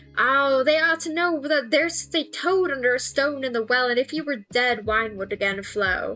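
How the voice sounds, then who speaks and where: A put-on character voice talks at a moderate pace while clear music plays in the background. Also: woman, high pitch for a woman. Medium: read story.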